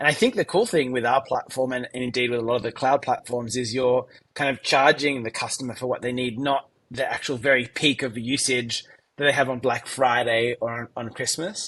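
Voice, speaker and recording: This man talks at a fairly quick pace with an Australian accent. His pitch is medium and his intonation fairly even. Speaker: tech company founder and CEO. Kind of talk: interview.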